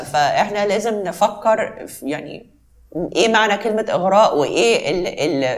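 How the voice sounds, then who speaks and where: A woman with a normal speaking voice talks at a moderate pace with medium pitch and lively intonation. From Egypt. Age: young. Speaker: belly dancer, former ballet dancer. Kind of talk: interview.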